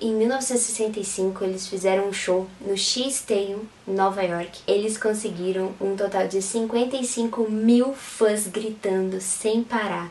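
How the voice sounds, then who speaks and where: Very slowly and with hardly any pauses, a woman at medium pitch speaks with fairly even intonation over noticeable background noise and audible room echo. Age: 20s. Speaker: photographer and Beatles fan youtuber. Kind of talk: interview.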